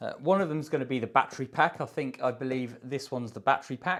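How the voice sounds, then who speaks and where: A man with a British accent speaks at a fairly quick pace. The recording is very clean, with a silent background. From UK. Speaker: DIY workshop video maker. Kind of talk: unboxing tutorial. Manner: casual, hesitant with fillers.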